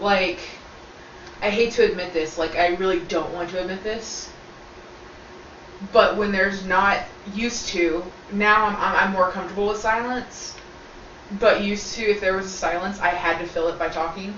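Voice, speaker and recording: Long, frequent pauses break up speech at a moderate pace with fairly even intonation, along with noticeable background noise and audible room echo. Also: woman, medium pitch for a woman. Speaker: video co-host. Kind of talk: casual chat. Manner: talkative.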